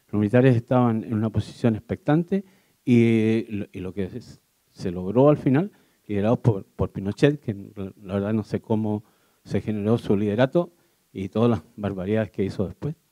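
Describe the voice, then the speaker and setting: Dark and mellow in tone, the voice moves at a moderate pace with ordinary pitch variation, and the sound is dry and close with no echo. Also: man, fairly low pitch for a man. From Chile. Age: 70s. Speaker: audience member. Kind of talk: audience question at a public talk.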